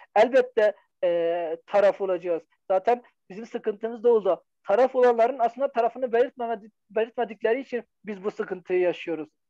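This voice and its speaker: A man's high voice in a dark, mellow tone at a fairly quick pace, dry and close with no echo. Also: ordinary pitch variation. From eastern Turkey (Hakkari, Van). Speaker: educator and writer. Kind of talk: interview.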